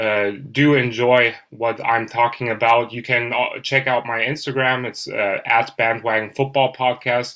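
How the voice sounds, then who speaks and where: This man has a medium pitch, a bright, sharp tone and a German accent. He talks at a fairly slow pace in a monotone, flat intonation with hardly any pauses. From Germany. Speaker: football podcaster. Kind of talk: casual chat.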